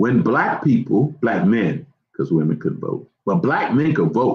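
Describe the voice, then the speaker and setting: Vocal fry and very wide pitch swings run through this voice with an American accent. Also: man. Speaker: management consultant. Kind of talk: talk with Q&A. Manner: stammering repetitions.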